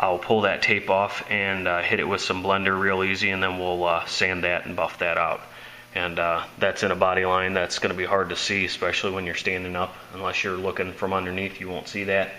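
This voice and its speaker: A man speaks with a very deep, low pitch in a flat monotone. His pace is fairly quick, with noticeable background noise. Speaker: auto body hobbyist. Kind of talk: casual video tutorial.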